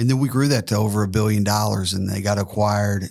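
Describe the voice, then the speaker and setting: A man's fairly low-pitched voice in a very clean recording with a silent background. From US South, Tennessee. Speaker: financial services entrepreneur. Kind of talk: podcast interview. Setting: studio.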